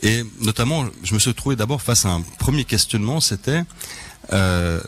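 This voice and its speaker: Music plays as a man with a Swedish accent, medium pitch and very even loudness speaks fairly slowly with lively intonation. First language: Swedish (speaking French). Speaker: crime novelist. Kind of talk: radio interview. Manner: hesitant, many fillers.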